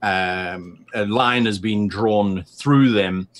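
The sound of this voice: A man speaks at a very slow pace. His pitch is fairly low, with ordinary variation.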